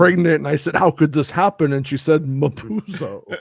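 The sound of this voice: A man puts on a robotic character voice, fairly high in pitch, at a moderate pace.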